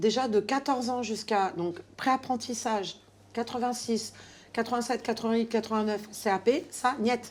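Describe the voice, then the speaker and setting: The speech comes at a fairly slow pace with fairly even intonation on a very clean recording with a silent background. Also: woman, fairly high pitch for a woman. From Paris suburbs. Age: 50s. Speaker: hairdresser. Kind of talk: casual chat. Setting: client's home. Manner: hesitant, many fillers.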